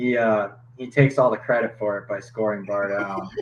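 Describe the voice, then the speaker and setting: A man with a slight Minnesota accent speaks at a medium pitch. His pace is moderate. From Minnesota, Twin Cities suburb. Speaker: hockey goalie. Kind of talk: podcast interview.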